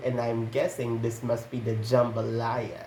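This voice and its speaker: This man's voice comes across as somewhat breathy. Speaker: storytime YouTuber. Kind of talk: reading aloud; casual chat.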